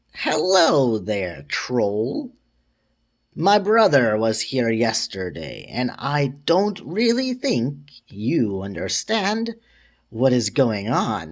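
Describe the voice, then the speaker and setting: In a put-on character voice, a man talks at a very slow pace on a very clean recording with a silent background. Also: medium pitch for a man. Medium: read story. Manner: sinister, scheming.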